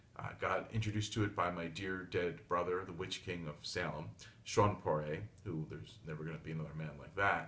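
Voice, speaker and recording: Audible room echo surrounds a fairly quick voice with vocal fry, a bright, sharp tone, lively intonation and big swings in loudness. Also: man, very deep, low pitch for a man. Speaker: tarot reader / psychic. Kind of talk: solo video monologue (daily tarot reading). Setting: home reading desk, filmed video. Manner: fast; blunt.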